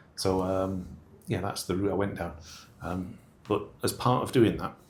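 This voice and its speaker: Fairly even intonation and a moderate pace mark this speech with a northern English accent. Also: man, very deep, low pitch for a man. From northern England. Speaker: engineer in shipping. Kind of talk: interview. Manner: halting, many fillers.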